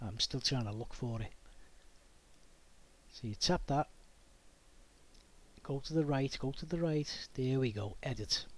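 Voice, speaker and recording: This man speaks with a Liverpool accent at a fairly slow pace. He leaves long, frequent pauses. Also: medium pitch for a man, ordinary pitch variation. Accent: Liverpool (Scouse). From Liverpool, England. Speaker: DIY YouTuber. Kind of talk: tutorial. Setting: home garage workshop. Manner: casual, conversational.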